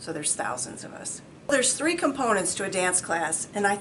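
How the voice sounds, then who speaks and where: A woman at medium pitch with lively intonation, a moderate pace and noticeable background noise. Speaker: fitness instructor. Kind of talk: interview.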